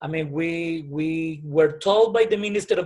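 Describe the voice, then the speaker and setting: At a moderate pace, a man with a Colombian accent speaks at a high pitch with ordinary pitch variation. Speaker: private school principal. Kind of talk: interview answer.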